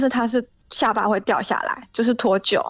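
A woman with an unremarkable speaking voice, fairly high pitch, ordinary pitch variation and a moderate pace, over a quiet background. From Xiamen, Fujian. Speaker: caller who works with shipping freight forwarding. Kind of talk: casual chat. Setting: phone call.

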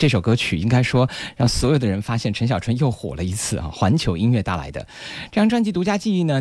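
A man at a medium pitch. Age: 30s. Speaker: radio host. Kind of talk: radio music show presenting.

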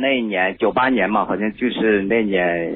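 A man talks in an unremarkable speaking voice, fairly low in pitch, at a moderate pace with ordinary pitch variation. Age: 40s. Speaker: caller. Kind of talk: call-in discussion of marriage problems. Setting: phone call.

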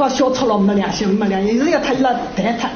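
With audible room echo and noticeable background noise, a woman speaks at a fairly quick pace with ordinary pitch variation. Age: 70s. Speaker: suspect. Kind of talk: interview. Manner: agitated.

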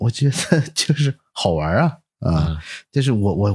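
A man with a fairly low, somewhat breathy voice swings very widely in pitch, on a very clean recording with a silent background. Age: 40s. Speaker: photographer and entrepreneur. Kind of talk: casual interview chat.

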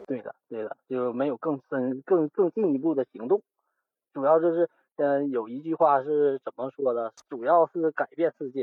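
Here a man speaks at a moderate pace. His pitch is fairly high, with ordinary pitch variation. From Northeast China, Liaoning. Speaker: assembly line worker. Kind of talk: casual chat. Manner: halting. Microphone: poor recording quality.

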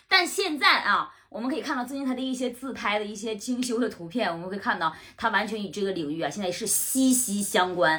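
A woman's fairly high voice with lively intonation, a fairly quick pace and hardly any pauses. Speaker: TV host and debate show debater. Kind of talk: casual chat. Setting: at the host's home. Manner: loud.

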